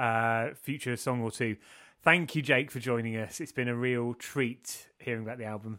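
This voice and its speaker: Recorded very cleanly against a silent background, a man speaks with a bright, sharp tone. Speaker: podcast host. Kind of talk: casual interview chat.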